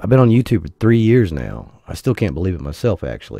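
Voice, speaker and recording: Music plays in the background while a man talks at a moderate pace. His fairly low voice makes very wide pitch swings. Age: 40s. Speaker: gaming YouTuber. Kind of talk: casual vlog monologue.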